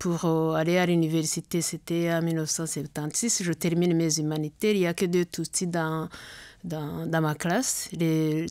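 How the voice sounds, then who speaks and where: A woman with a dark, mellow tone and a fairly low pitch talks at a fairly slow pace on a very clean recording with a silent background. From Rwanda. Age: 60s. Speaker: genocide survivor, association founder. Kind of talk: testimony.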